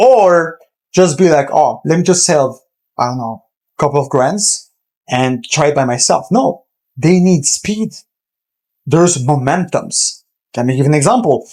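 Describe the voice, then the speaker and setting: Speaking at a fairly slow pace with a non-native accent, a man with a fairly high pitch uses lively intonation and takes long, frequent pauses. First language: not English. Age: 20s. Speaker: entrepreneur, agency owner. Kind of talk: casual business advice talk. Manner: direct, informal.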